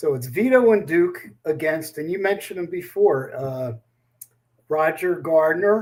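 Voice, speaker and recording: The speaker goes at a fairly slow pace. The intonation is lively. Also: man, high pitch for a man. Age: 70s. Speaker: bowling tournament founder. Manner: halting.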